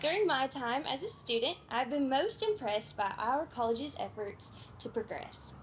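There is light background noise as a woman speaks in a high pitch. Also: moderate pace. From Kentucky. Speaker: agriculture student; speaker. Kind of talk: prepared speech. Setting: outdoor tent event with audience. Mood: warm, grateful.

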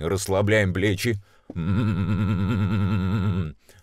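Against a quiet background, a man talks in a very deep, low pitch, the sound dry with no echo. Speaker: voice coach and announcer. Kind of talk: voice warm-up tutorial. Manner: sustained humming and syllable drills, chest register. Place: booth. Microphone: studio mic.

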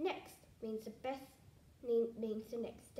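In plain reading aloud, the intonation holds fairly even.

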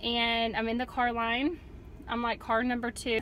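A woman with a high pitch speaks at a fairly slow pace in a dry, echo-free sound over light background noise. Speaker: mother vlogger. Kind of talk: casual vlog chat. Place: car. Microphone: phone near.

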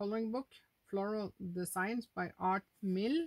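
A woman's fairly high voice with a Norwegian accent, very slow pace and fairly even intonation, over a quiet background. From Norway. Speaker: adult coloring YouTuber. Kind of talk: casual monologue showing finished coloring pages. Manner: halting, with frequent fillers. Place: home room. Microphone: phone near.

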